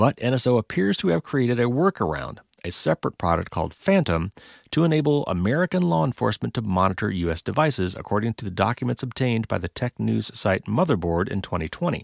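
At a fairly quick pace, a man speaks in a fairly low pitch with very wide pitch swings, his dry, close sound carrying no echo on a very clean recording with a silent background. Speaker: podcast host. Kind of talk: news roundup podcast. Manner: fast talker; animated when excited.

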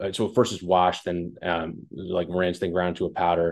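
A man with a very deep, low voice at a moderate pace. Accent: American. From West Long Branch, New Jersey. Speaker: food company founder and CEO. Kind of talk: interview. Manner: casual.

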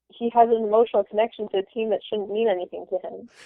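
Using a flat, monotone intonation, a woman with an American accent speaks at a fairly high pitch. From Florida. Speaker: MBA student. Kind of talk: casual chat.

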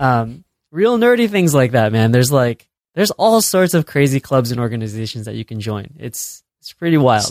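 A voice with an American accent and lively intonation, recorded with a dry, close sound and no echo. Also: man, medium pitch for a man, moderate pace. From Chicago, US Midwest. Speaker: video producer. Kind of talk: casual chat.

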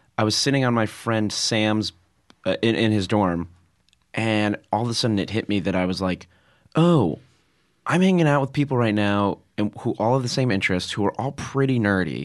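Against a quiet background, a man with an unremarkable speaking voice talks at a fairly low pitch and a moderate pace, with lively intonation and very even loudness. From Connecticut, Fairfield. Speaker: comedian. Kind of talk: casual chat.

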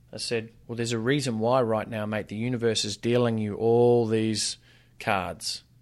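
In a very clean recording with a silent background, a man with an Australian accent speaks at a moderate pace and medium pitch. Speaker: fitness business coach and author. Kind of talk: casual interview chat. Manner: animated.

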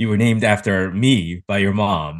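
Fairly slow and fairly low in pitch, a man talks with ordinary pitch variation in an ordinary speaking voice. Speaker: co-host.

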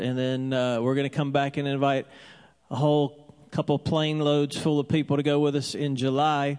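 A man with an ordinary speaking voice talks at a moderate pace, pitched fairly high. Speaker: church pastor. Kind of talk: church welcome, introduction and closing prayer. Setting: church with congregation. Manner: warm, friendly, casual.

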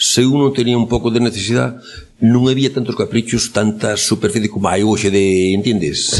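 A man at medium pitch and moderate pace over noticeable background noise. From Galicia, Arteixo (A Coruña). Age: 80s+. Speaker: elderly villager telling life story. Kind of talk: oral history interview. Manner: halting.

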